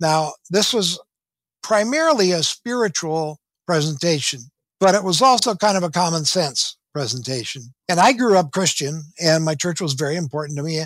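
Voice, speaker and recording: A man with an American accent speaks at a high pitch and a moderate pace. His intonation is lively. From US Midwest, southwestern Minnesota. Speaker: spiritual messenger, retired teacher. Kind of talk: interview.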